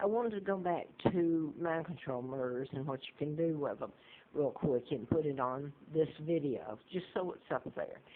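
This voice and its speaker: At a moderate pace, a woman speaks in a very deep, low voice with lively intonation. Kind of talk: casual talk to camera. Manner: hesitant, rambling.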